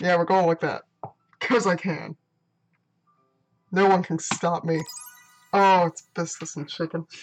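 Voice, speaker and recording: Over music in the background, a woman with a fairly low pitch speaks at a fairly slow pace with fairly even intonation and long, frequent pauses, in a dry, close sound with no echo. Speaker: gaming youtuber. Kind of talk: let's play commentary. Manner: reads game text aloud.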